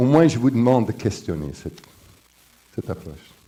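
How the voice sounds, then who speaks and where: A dark, mellow tone with very wide pitch swings and an English accent. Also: man. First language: English (speaking French). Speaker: professor, conference speaker. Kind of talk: conference lecture. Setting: conference with audience. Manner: halting, with repetitions and fillers.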